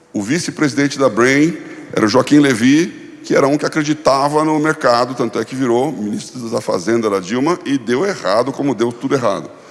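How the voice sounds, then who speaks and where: Noticeable background noise sits behind a man who speaks at a moderate pace in a fairly high voice with ordinary pitch variation. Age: 60s. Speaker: pastor and former finance executive. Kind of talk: conference talk.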